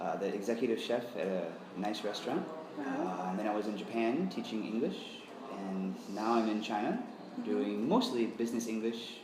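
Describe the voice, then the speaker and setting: Noticeable background noise surrounds this recording. A man with an American accent speaks at a moderate pace. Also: medium pitch for a man, ordinary pitch variation. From USA. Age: 30s. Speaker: English teacher. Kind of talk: interview answer. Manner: casual, hesitant.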